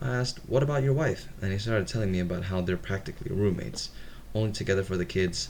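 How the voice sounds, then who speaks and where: A man with a non-native accent talks with audible room echo. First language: not English. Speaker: reddit story reader, gamer. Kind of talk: reading aloud with casual commentary. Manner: some stuttering; casual.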